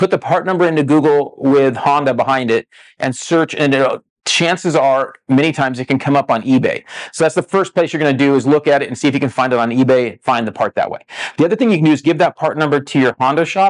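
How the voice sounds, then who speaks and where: With a dry, close sound and no echo, a man talks at a very fast pace and a fairly high pitch with ordinary pitch variation. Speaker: dirt bike tech podcast host. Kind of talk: casual tech podcast talk. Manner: fast talker.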